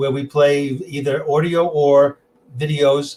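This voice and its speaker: A man with a New York accent and a fairly high pitch. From New York City. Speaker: tech presenter and music collector. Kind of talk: interview.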